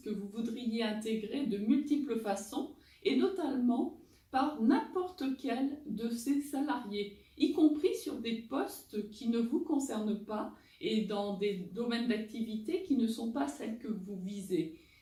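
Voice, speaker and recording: A woman talks very slowly at a fairly high pitch, with lively intonation and a dark, mellow tone. The room echo is audible. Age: 50s. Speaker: recruiter and job-search coach. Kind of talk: advice talk answering viewer questions.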